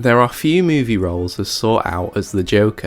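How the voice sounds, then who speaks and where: Music plays in the background as a man speaks at a moderate pace with a fairly low pitch. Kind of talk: video essay narration.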